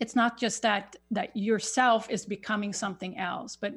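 A woman speaks with a Swedish accent at a fairly slow pace. Vocal fry runs through her voice. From Sweden. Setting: video call.

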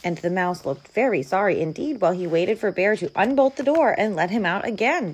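The delivery is an unforced reading voice. Its intonation rises and falls in a lively way.

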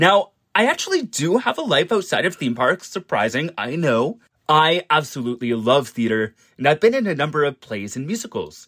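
On a very clean recording with a silent background and a dry, close sound with no echo, a man talks at a moderate pace with a fairly high pitch and very wide pitch swings. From Canada, Ontario. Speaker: podcast contributor, theme park YouTuber. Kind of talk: scripted introduction.

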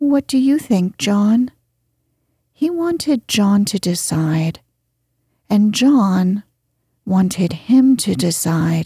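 A woman's somewhat breathy, dark and mellow voice in a dramatic, soothing tone, very slow with long, frequent pauses, very wide pitch swings, very even loudness, and a dry, close sound with no echo. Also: medium pitch for a woman. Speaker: audiobook narrator. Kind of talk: literary audiobook reading, bedtime story narration. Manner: soft, slow, soothing, calm; gently dramatic, voicing characters.

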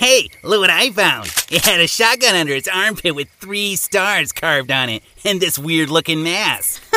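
A man's put-on character voice, high-pitched, with lively intonation at a moderate pace. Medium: audio drama. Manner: goofy, rambling.

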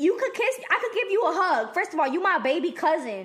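Amid noticeable background noise, a woman speaks in an animated tone with very wide pitch swings. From El Salvador. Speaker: podcast co-host. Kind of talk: casual chat.

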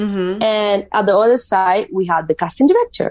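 The speaker is a woman with a medium pitch. Ordinary variation runs through her pitch. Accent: Spanish. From Spain (Mallorca). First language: Spanish. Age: 20s. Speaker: model. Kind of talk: interview.

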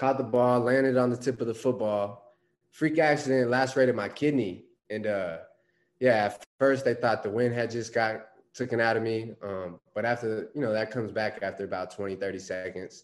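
A man with an American accent speaks in an unremarkable speaking voice at a medium pitch and moderate pace, his intonation fairly even. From Phoenix, Arizona. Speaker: pro football player. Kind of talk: interview.

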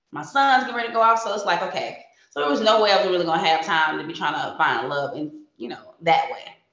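A woman speaks with an American accent at a fairly low pitch, and room echo is audible. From New Jersey, near Philadelphia. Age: 40s. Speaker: hairstylist and reality TV contestant. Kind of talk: casual interview.

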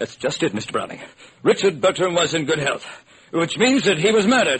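Doing a put-on character voice, a man speaks at a fairly quick pace with a fairly high pitch, big pitch swings, a husky, rough edge and a fairly bright tone.

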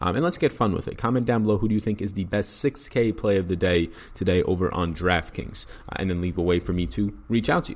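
A man at a very fast pace, his pitch very deep and low. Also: ordinary pitch variation. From New York. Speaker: fantasy sports analyst. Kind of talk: podcast sports picks breakdown. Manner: fast talker.

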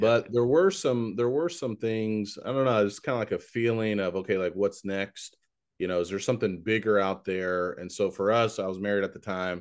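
In a normal speaking voice, a man talks at a fairly low pitch with ordinary pitch variation. The background is quiet. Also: moderate pace. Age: 40s. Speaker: podcast host and preacher. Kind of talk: podcast interview.

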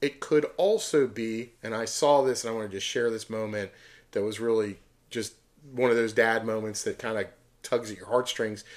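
In a very clean recording with a silent background, a man with a plain, everyday voice talks at a moderate pace and medium pitch, his intonation fairly even and his loudness swinging widely. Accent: American. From Pittsburgh, Pennsylvania. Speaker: podcast host, concert poster collector. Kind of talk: casual chat.

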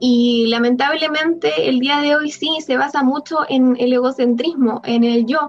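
A woman's high-pitched voice at a fairly slow pace with hardly any pauses, very even loudness and ordinary pitch variation, with music in the background. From Chile. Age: 20s. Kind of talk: casual chat.

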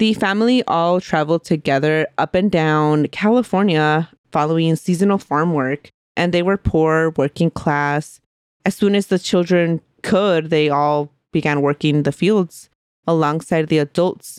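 Recorded very cleanly against a silent background, an unremarkable speaking voice moves at a fairly slow pace with ordinary pitch variation, very even loudness, and a dry, close sound with no echo. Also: woman, fairly low pitch for a woman. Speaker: podcast co-host. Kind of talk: casual chat and storytelling.

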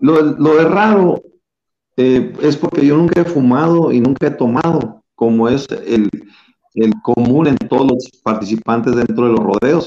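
Here a man talks at a fairly slow pace with a fairly high pitch and lively intonation. His tone is dark and mellow, and his loudness is very even. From Chihuahua, northern Mexico. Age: 60s. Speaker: rodeo clown. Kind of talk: interview.

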